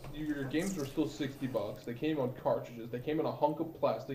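With hardly any pauses, a man talks at a fairly quick pace in a fairly high pitch, and room echo is audible. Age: 20s. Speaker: Twitch streamer and podcaster. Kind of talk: casual chat.

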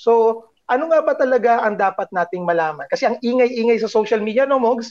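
The background stays quiet. A man speaks with lively intonation. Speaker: news podcast host, editor. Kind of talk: interview.

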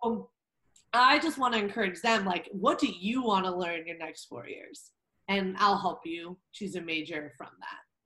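With a Californian accent, a woman talks in a bright, sharp tone with lively intonation. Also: medium pitch for a woman, moderate pace, big swings in loudness. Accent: Californian American English. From Southern California, Orange County. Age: 20s. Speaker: academic advisor for college athletes. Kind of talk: podcast interview.

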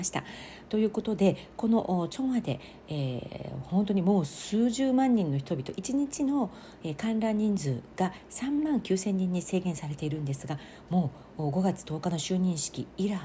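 Fairly low-pitched and somewhat breathy, a woman speaks at a fairly slow pace in a dark, mellow tone with very wide pitch swings. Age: 40s. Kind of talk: casual solo monologue.

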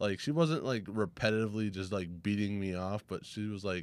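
Fairly low in pitch, a man uses a normal speaking voice. He moves at a fairly quick pace with ordinary pitch variation. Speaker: guest. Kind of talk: casual storytelling.

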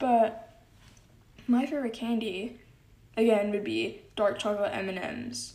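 A woman with a fairly high pitch and a dark, mellow tone speaks very slowly, with vocal fry and fairly even intonation. Long, frequent pauses break her speech, and the room echo is audible. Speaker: solo podcast host. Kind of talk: casual monologue. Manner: giggly, frequent laughs.

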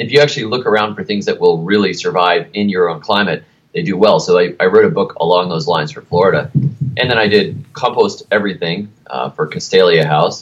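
An ordinary speaking voice from a man with an American accent, fairly low in pitch, lively in intonation, fairly quick and with hardly any pauses. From United States. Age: 30s. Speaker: garden writer and author. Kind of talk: casual interview.

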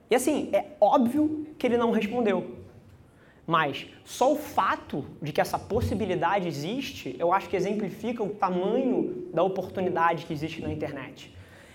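A man's high-pitched voice at a moderate pace, very wide pitch swings, audible room echo. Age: 20s. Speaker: agency CEO. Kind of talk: keynote talk. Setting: stage with audience.

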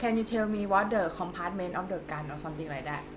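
Speaking with a Thai accent, a woman uses a medium pitch with ordinary pitch variation. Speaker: podcast host. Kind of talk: casual interview.

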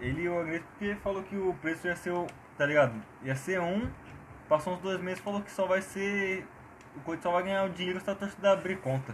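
Noticeable noise is present behind the voice. The words come at a fairly quick clip. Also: man, high pitch for a man, ordinary pitch variation. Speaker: podcast co-host. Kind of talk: casual chat. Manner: animated. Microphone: cheap Samsung earphone mic.

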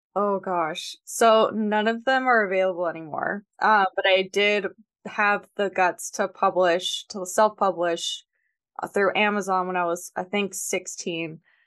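Against a quiet background, a woman speaks with an American accent at a fairly slow pace and medium pitch. It is an unremarkable speaking voice. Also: fairly even intonation. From US South, Georgia. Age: 20s. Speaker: author and editor. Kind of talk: casual interview.

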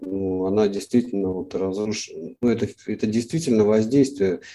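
Over a quiet background, a man with a dark, mellow tone speaks at a fairly low pitch with ordinary pitch variation. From Russia, St. Petersburg. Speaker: cartoonist. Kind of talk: interview. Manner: halting.

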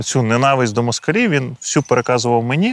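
A man talks at a fairly quick pace in a plain, everyday voice of medium pitch with ordinary pitch variation. The sound is dry and close, without echo. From Ukraine, Kyiv region (Boiarka). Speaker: soldier and political scientist. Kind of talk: interview. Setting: outdoors in a forest trench position.

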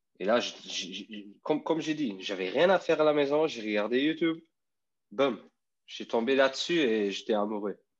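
A man's medium-pitched voice in a Luxembourgish accent, with lively intonation, a moderate pace and long, frequent pauses, over a quiet background. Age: 30s. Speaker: electric skateboard rider. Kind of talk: casual interview. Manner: halting.

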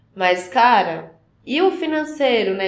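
A woman's high-pitched voice carries audible room echo over noticeable background noise. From São Paulo state, Carapicuíba. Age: 20s. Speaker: professional ballet dancer. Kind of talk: casual interview.

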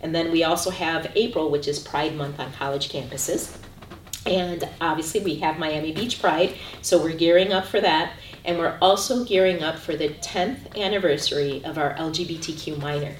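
A woman's fairly low voice with an American accent, amid audible room echo and noticeable background noise. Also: ordinary pitch variation, moderate pace. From US Midwest, Chicago. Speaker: university LGBTQ center director. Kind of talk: interview. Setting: on campus, filmed.

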